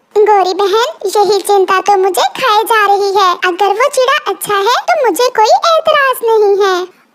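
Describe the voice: This woman uses a cartoonish character voice at an extremely high pitch, with very even loudness. She leaves hardly any pauses. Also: moderate pace.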